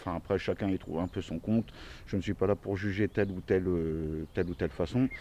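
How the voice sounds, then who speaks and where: This man's voice sits very deep and low, with a dark, mellow tone. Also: ordinary pitch variation, fairly quick pace. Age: 40s. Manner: hesitant, many fillers.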